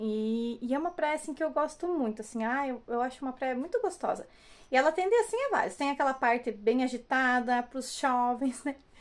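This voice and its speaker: Her pitch high and her intonation lively, the woman keeps to a moderate pace. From Brazil. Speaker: vlogger and hair salon owner; vlogger. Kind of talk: casual vlog talk to camera. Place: home room. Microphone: phone near.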